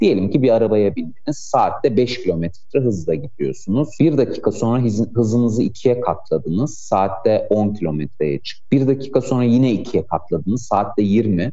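Speaking in a plain, everyday voice, a man at medium pitch talks at a moderate pace with lively intonation. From Turkey, Ankara. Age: 30s. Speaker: AI association board member and doctoral student. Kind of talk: radio interview.

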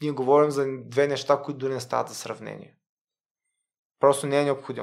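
The speaker is a man. His pitch is medium. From Bulgaria, Varna. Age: 30s. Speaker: lawyer. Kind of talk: interview. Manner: halting.

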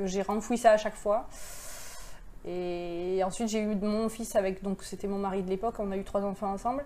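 A woman speaks at a moderate pace in a flat, monotone delivery, her medium-pitched voice dark and mellow in tone. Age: 40s. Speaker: abuse survivor sharing her story. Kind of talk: testimony. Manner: halting.

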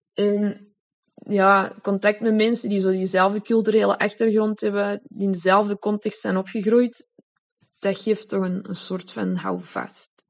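Speaking at a fairly slow pace, a woman of medium pitch keeps a monotone, flat intonation. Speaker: member of a women's circle. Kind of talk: personal testimony.

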